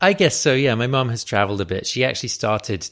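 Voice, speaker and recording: Recorded very cleanly against a silent background, a man with an English accent speaks at a fairly quick pace. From London, England. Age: 30s. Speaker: podcaster and aspiring screenwriter. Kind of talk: interview.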